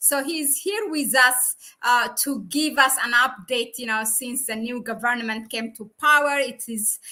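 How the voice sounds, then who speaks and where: The woman has a high pitch and a bright, sharp tone. She speaks at a fairly slow pace with fairly even intonation. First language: not English. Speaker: YouTube channel host, researcher. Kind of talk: live-streamed interview. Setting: live stream.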